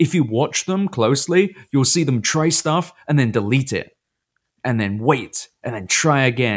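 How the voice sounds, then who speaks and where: A man with a British accent speaks with lively intonation. The recording is very clean, with a silent background. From Britain. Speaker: podcast co-host. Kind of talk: casual chat.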